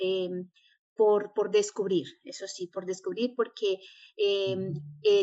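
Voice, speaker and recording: A woman talks at a very slow pace. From New York, US (born Medellín, Colombia). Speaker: association founder. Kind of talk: interview.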